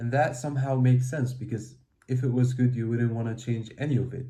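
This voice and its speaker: A man's medium-pitched, somewhat breathy voice with a dark, mellow tone, monotone, flat intonation, a fairly quick pace and audible room echo. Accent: non-native. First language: not English. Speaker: self-help video creator. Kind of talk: motivational talk.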